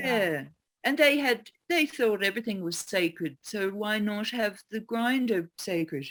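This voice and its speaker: A woman's fairly high voice, fairly slow in pace, with lively intonation. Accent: Australian. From Australia. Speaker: geomancer and teacher. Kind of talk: interview answer.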